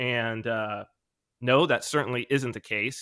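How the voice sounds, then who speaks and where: Over a very clean recording with a silent background, a man speaks at a medium pitch and a moderate pace, his tone bright and sharp and his intonation fairly even. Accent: American. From California. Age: 40s. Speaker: author and video creator. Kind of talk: interview. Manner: conversational with frequent fillers.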